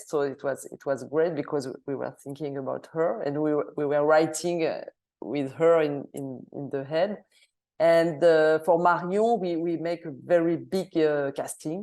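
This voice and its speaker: A woman with a French accent, very deep and low in pitch, dark and mellow in tone, fairly even in intonation, with big swings in loudness. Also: quiet background. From Switzerland. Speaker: film director. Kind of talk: Q&A interview. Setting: video call into cinema. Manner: halting, many hesitations.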